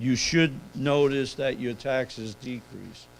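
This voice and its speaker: At a fairly slow pace, a man talks at medium pitch with fairly even intonation. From New York City. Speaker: accountant. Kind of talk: seminar presentation.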